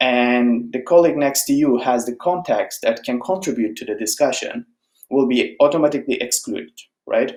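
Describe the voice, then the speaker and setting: A man with a Turkish accent at a moderate pace. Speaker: software engineer, conference speaker. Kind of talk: conference talk. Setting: online conference presentation. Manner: conversational, with filler words.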